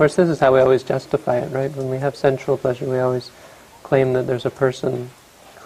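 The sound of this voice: The voice reads in an unforced way.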